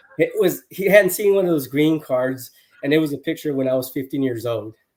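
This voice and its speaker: An unremarkable speaking voice from a man with an American accent, fairly high in pitch, with ordinary pitch variation and a fairly quick pace. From Houston, Texas. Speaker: sales executive. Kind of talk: casual interview chat. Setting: livestream.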